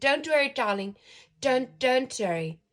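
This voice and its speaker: Putting on a character voice, a woman speaks at a high pitch and moderate pace with a gentle tone and lively intonation. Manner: gentle, reassuring.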